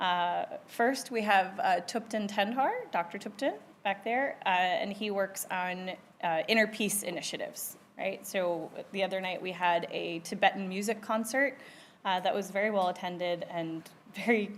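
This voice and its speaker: A woman's mid-range voice moves at a moderate pace, with pitch varying in the usual way. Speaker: university center director hosting event. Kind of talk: event welcome speech. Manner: loud; hesitant, many fillers.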